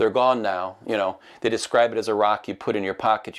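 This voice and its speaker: Someone with a Midwestern accent talks at a very fast pace. The recording is very clean, with a silent background. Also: man. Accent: Midwest. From US Midwest. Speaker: interviewer, movie theater host. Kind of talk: interview. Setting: studio.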